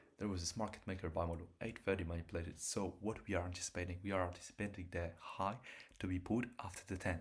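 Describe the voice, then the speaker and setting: A man's very deep, low voice, somewhat breathy, with fairly even intonation and a very fast pace. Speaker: day trader. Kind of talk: trading livestream commentary.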